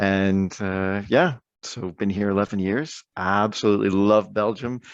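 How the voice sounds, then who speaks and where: A man with an American accent speaks at a fairly slow pace and a fairly low pitch. His intonation is fairly even, and the background is quiet. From Canada, Ontario. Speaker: Anglican priest, baseball fan. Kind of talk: casual chat.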